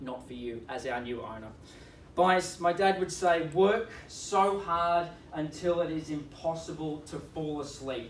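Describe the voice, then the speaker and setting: A speaker with an Australian accent talks at a fairly slow pace, with ordinary pitch variation. Noticeable background noise is present. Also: man. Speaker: auctioneer. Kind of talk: real estate auction opening speech. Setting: live auction competition.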